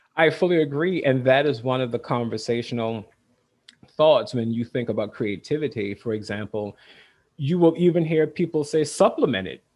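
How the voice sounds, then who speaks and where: A man with a normal speaking voice and a fairly high pitch. His intonation is lively and his pace moderate. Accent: American. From US South. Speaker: state librarian. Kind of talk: casual chat.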